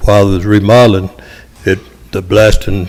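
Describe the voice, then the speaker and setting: Speaking at a moderate pace in a Tennessee accent, a man keeps a monotone, flat intonation at a fairly low pitch. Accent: Southern US (Tennessee). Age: 70s. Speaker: local resident speaking at public hearing. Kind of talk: public comment at council meeting. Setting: city council meeting.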